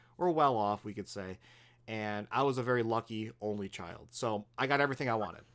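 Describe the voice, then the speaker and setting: On a very clean recording with a silent background, a man talks at a very fast pace with ordinary pitch variation. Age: 30s. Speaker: podcast host. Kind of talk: casual chat.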